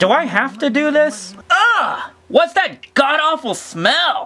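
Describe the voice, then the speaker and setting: At a fairly slow pace, a high-pitched put-on character voice rises and falls in very wide pitch swings. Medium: voice reel. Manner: brash, crude, bossy.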